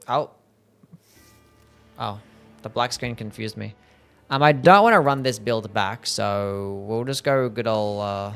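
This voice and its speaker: With an Australian accent and medium pitch, a man speaks at a fairly slow pace in an upbeat tone, with long, frequent pauses. His loudness swings widely, his pitch varies in an ordinary way, and music plays in the background. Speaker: video game streamer. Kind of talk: live gameplay stream chat. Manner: casual, upbeat.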